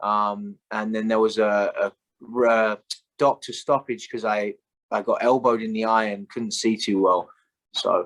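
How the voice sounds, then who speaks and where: With a British accent, a man speaks in fairly even intonation. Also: medium pitch for a man, fairly slow pace, dry, close sound with no echo. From England, London. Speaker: Muay Thai fighter. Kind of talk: interview. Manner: hesitant, many fillers.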